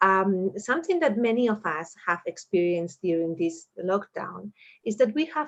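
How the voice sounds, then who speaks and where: Speaking at a moderate pace with a Spanish accent, a woman of medium pitch lets her voice swing very widely in pitch. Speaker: moderator. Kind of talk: online panel discussion. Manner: halting.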